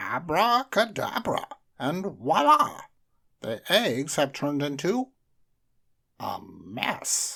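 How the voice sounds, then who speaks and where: A put-on character voice in a very clean recording with a silent background. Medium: read story. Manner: pompous, flustered.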